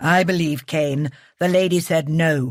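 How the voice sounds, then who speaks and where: A put-on character voice, growling and husky, at a middle pitch and moderate pace, on a very clean recording with a silent background. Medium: read story. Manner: silky, controlled.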